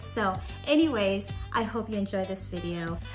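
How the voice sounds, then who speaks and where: A woman's voice with clear music in the background. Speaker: cooking vlogger. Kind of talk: casual vlog chat. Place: kitchen. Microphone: phone near.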